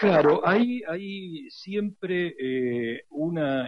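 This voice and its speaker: Very wide pitch swings run through this voice. The speaker is a man. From Argentina, Buenos Aires. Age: 60s. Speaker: radio historian and lecturer. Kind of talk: interview.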